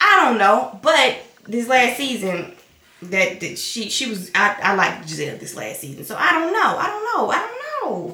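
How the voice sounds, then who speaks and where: A woman speaks in a raised, projected voice with a Southern US accent, an animated tone and very wide pitch swings at a moderate pace. Noticeable background noise and audible room echo surround her. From US South. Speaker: vlogger, stay-at-home mom. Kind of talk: casual chat.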